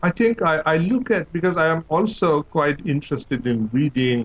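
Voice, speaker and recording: This man has a Bengali accent and lively intonation. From Bangladesh. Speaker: professor. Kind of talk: interview.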